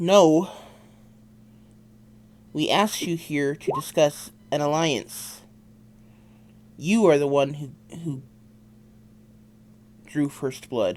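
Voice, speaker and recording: In a put-on character voice, someone strains through the words at a very slow pace, leaving long, frequent pauses. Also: man, fairly high pitch for a man. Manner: strained, gritting.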